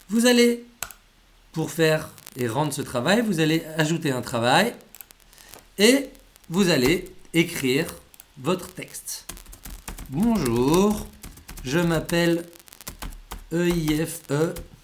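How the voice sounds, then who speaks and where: The speaker goes at a very slow pace, with long, frequent pauses. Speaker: language school teacher. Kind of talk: tutorial.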